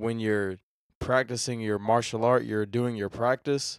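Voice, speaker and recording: The voice moves at a moderate pace with monotone, flat intonation. The sound is dry and close with no echo, a very clean recording over a silent background. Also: man. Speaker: podcast host. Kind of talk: casual interview.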